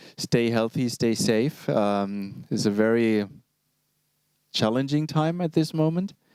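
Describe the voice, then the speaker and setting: At a very slow pace, a man speaks at a medium pitch with lively intonation. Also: very even loudness. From Germany, Berlin. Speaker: product demonstrator, keyboard specialist. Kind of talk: online product presentation. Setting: live stream broadcast. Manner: long phrases, hesitant fillers.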